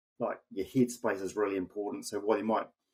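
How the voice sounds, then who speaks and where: A man speaks at a fairly low pitch and a fairly quick pace. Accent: New Zealand. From New Zealand. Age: 60s. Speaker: amateur endurance athlete. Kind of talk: podcast interview. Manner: halting.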